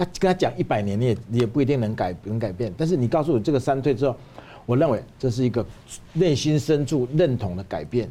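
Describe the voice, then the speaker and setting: A man with a dark, mellow tone talks at a fairly quick pace and a medium pitch, his pitch swinging very widely. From Taiwan. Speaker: Taiwanese businessman. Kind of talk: analytical discussion. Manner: emphatic, repeats words.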